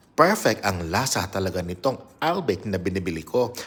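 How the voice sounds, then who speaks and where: A man with an animated tone at a fairly slow pace. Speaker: vlogger. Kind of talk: casual vlog. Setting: at home.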